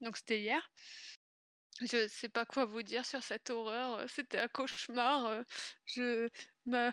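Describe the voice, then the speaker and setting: A woman speaks at a high pitch with a monotone, flat intonation, very slowly and with long, frequent pauses. The sound is dry and close, with no echo. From northern France, Pas-de-Calais. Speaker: guest co-host of a video game stream. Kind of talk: casual chat.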